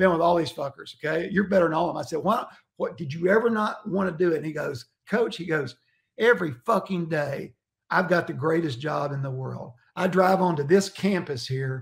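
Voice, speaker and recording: A man's high-pitched voice at a fairly quick pace. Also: ordinary pitch variation. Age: 60s. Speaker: college football coach. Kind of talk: casual chat. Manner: animated.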